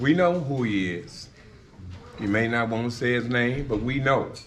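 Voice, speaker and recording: A man with an American accent talks at a fairly slow pace. Audible room echo surrounds his voice. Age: 60s. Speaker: retired high school football coach. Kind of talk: speech presenting an inductee.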